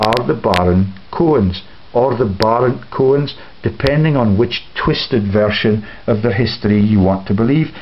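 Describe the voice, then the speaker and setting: Noticeable background noise sits behind a man speaking at a fairly slow pace. His voice is medium-pitched, with ordinary pitch variation. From Scotland, Scottish Borders (Kelso). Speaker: video blogger. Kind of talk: rambling solo monologue. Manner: laughs often between sentences.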